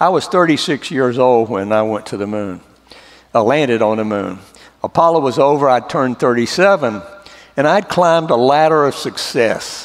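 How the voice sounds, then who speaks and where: A man with a Southern US accent speaks at a medium pitch with lively intonation. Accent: Southern drawl. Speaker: former astronaut. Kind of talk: church testimony talk.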